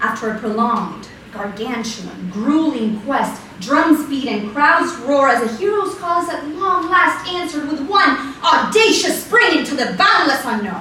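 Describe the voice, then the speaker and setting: Over noticeable background noise, a woman with a high pitch uses a raised, projected voice, making very wide pitch swings at a fairly slow pace. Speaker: slam poet. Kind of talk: slam poetry performance, second-person monologue.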